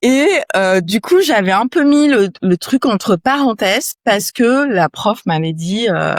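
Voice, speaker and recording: A woman's voice makes very wide pitch swings on a very clean recording with a silent background and a dry, close sound with no echo. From France, Yvelines (Paris region). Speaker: entrepreneur, company founder. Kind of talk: interview conversation. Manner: casual, many fillers.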